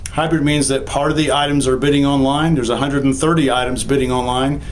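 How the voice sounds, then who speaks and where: A man speaks very fast at a fairly high pitch, in a monotone, flat intonation and very even loudness. The recording has audible room echo and noticeable background noise. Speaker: estate sale company owner. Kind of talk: video walkthrough tour.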